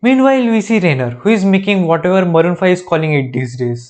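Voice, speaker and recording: Quiet background, a man with an Indian accent, high pitch, very wide pitch swings and a very fast pace. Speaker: YouTuber reacting to TV shows. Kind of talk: comedic commentary.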